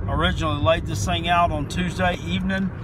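A man speaks with noticeable background noise behind him. The sound is dry, with no echo. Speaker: sports picks vlogger. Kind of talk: casual vlog chat. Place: car. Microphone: phone near.

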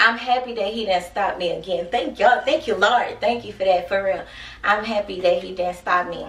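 With an animated tone, a woman speaks at a moderate pace amid light background noise and audible room echo. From Texas. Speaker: YouTuber. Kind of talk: casual vlog chat. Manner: laughs often. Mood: grateful, animated storytelling. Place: home room. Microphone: camera far.

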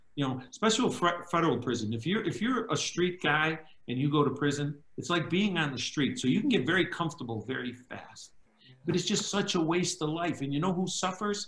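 A man with a Chicago accent speaks at a fairly quick pace in a fairly high voice with lively intonation, and the room echo is audible. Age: 60s. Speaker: former mob associate turned government witness; witness. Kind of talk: interview storytelling. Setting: video call. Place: home room. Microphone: video call.

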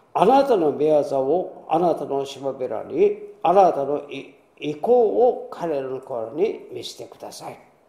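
With audible room echo, a man talks at a fairly slow pace in a fairly high pitch, his pitch swinging very widely and his loudness shifting in big swings. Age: 80s+. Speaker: pastor. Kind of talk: sermon. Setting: church. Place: church. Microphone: podium.

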